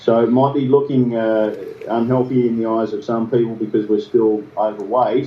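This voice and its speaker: Here a man speaks in an Australian accent. His intonation stays monotone and flat. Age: 50s. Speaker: interview guest, health recovery story. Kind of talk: podcast interview. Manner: hesitant, with repeated words.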